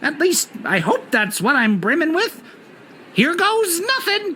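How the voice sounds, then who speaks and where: High and squeaky, this put-on character voice moves at a fairly slow pace with very wide pitch swings over clear background noise. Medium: video game. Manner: whimsical, theatrical.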